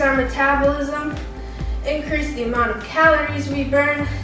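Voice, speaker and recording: A woman speaks at a moderate pace, with clear music in the background. Room echo is audible. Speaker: fitness instructor. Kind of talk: workout instruction. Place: gym. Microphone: camera far.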